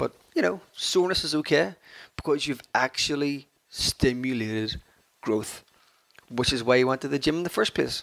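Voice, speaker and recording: In an Irish accent, a man talks with an energetic tone at a medium pitch and moderate pace. The sound is dry and close, with no echo. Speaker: fitness podcaster. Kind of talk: solo podcast talk.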